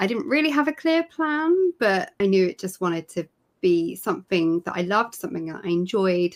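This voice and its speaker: In a very clean recording with a silent background and a dry, close sound with no echo, a woman with a British accent speaks at a moderate pace in a medium pitch, her pitch swinging very widely. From UK. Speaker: knitting and crochet technical editor. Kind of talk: interview. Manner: halting.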